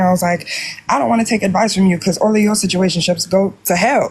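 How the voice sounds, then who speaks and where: Her voice is somewhat breathy. The woman speaks in an American accent. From Jamaica. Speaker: caller. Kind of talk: casual chat.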